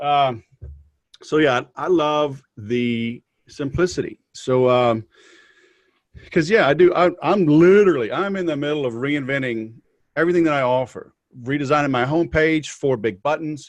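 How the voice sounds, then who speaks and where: A man with a Southern US accent speaks at a moderate pace and a fairly high pitch. His pitch varies in an ordinary way, with long, frequent pauses. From US South. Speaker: podcast host. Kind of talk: casual interview. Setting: video call.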